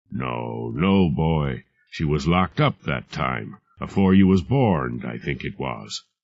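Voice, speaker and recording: In a put-on character voice, a man speaks shakily at a fairly slow pace, his very deep, low pitch carried by lively intonation. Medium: read story. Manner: halting, repetitive, full of dread.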